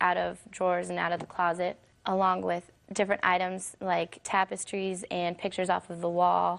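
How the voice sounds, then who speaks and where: A woman's voice at a moderate pace, with monotone, flat intonation. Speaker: plaintiff in small claims case. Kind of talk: court testimony. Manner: long-winded.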